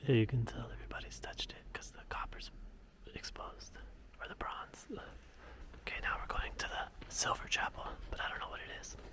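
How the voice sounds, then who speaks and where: A man whispers, his loudness swinging widely. Noticeable background noise is present. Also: moderate pace. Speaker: travel vlogger. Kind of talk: casual vlog narration. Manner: whispering in chapel.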